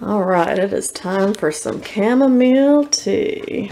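Over light background noise, a woman talks at a very slow pace. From US. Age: 30s. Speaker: vlogger and college English teacher. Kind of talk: talking to her dog; casual vlog narration. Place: home room. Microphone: phone near.

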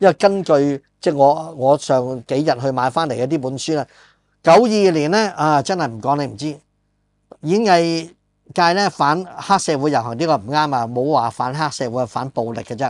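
A man speaks at a moderate pace, his pitch fairly high with ordinary variation. The sound is dry with no echo, and the background quiet. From Hong Kong. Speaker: podcast host and film screenwriter; podcast host. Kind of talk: casual chat. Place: studio. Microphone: lapel.

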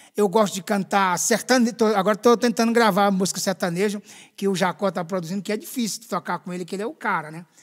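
The speaker talks at a very fast pace in an animated tone with ordinary pitch variation against a quiet background. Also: man, high pitch for a man. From Northeast Brazil, Pernambuco coast. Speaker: gospel singer; guest. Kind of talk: interview testimony. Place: studio. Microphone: studio mic.

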